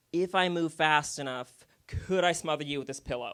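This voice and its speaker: Man's raised, projected voice at a moderate pace. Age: 20s. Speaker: stand-up comedian. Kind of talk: stand-up. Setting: stage with audience. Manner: animated.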